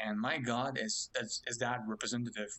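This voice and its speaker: This is a man speaking. He talks with a French Canadian accent. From Quebec, Montreal. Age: 20s. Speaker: web developer, subreddit moderator. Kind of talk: casual chat. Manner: halting.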